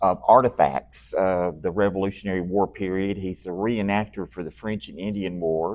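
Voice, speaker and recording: Speaking at a moderate pace, a man uses an unremarkable speaking voice with a fairly low pitch. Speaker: presenter at a society meeting. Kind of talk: slide presentation.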